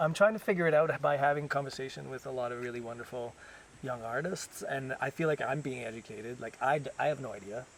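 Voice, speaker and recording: Very fast and medium-pitched, a man with a slight French Canadian accent talks with ordinary pitch variation and big swings in loudness. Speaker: ballet dancer. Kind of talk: casual interview. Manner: halting, many restarts.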